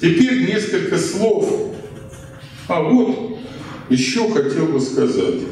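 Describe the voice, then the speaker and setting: Strong room echo surrounds the speech, along with light background noise. The pace is very slow. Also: man. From Russia. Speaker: historian presenting his book. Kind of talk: lecture. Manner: conversational, with fillers. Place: hall.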